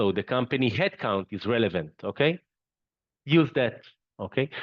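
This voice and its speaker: Lively intonation marks this man's medium-pitched voice. His pace is fairly slow. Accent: non-native. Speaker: company CEO, webinar presenter. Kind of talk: webinar presentation. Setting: online webinar. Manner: halting, with fillers and repetitions.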